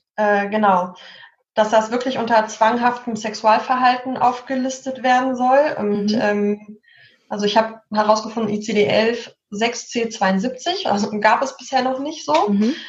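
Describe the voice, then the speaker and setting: Speaking at a fairly slow pace, a woman with a fairly high, somewhat breathy voice keeps her intonation fairly even, and the room echo is audible. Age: 30s. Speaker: social worker. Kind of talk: casual chat.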